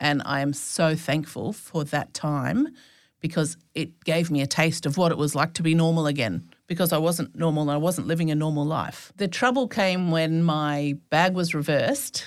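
A woman with an Australian accent, very deep and low in pitch, at a moderate pace with ordinary pitch variation, on a very clean recording with a silent background. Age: 40s. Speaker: birth trauma survivor and counsellor. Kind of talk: personal testimony.

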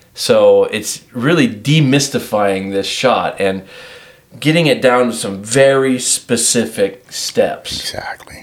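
A man speaks very slowly with an American accent over noticeable background noise. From Washington. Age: 40s. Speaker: shooting coach. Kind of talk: podcast interview.

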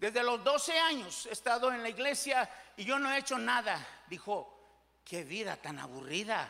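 A man's raised, projected voice at an extremely high pitch, with lively intonation and a moderate pace. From Mexico. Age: 60s. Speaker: pastor. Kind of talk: sermon.

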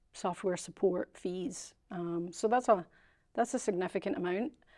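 Dark, mellow tone with a Scottish accent at a fairly slow pace. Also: woman. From Scotland. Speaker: local government business systems analyst. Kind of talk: casual interview chat.

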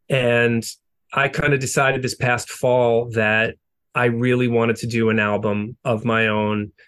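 Pitched in the medium range, a man speaks with a New York accent. His pace is fairly slow and his intonation monotone and flat. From US Northeast (Long Island, New York). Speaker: rock musician. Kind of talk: interview.

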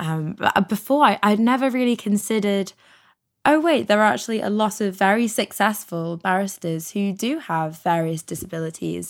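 Using a normal speaking voice, a woman talks at a moderate pace and medium pitch with lively intonation. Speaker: podcast host. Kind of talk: interview. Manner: laughs often, casual.

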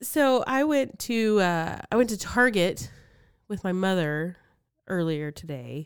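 On a very clean recording with a silent background, a woman with an American accent speaks at a medium pitch with lively intonation. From Texas. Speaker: podcast co-host. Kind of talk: casual chat. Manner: animated.

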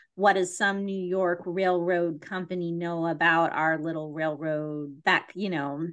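On a quiet background, a woman with a fairly low pitch speaks at a fairly slow pace in a monotone, flat intonation, with hardly any pauses. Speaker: podcast host. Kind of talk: casual chat.

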